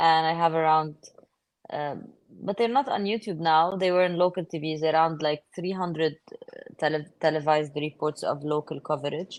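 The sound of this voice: Her intonation fairly even, a woman speaks at a low pitch and a moderate pace.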